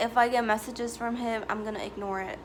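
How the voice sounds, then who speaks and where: A fairly high-pitched woman's voice, fairly quick and fairly even in intonation, with audible room echo. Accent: non-native. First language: not English. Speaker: YouTuber. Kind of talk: storytime vlog. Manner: casual, filler-heavy.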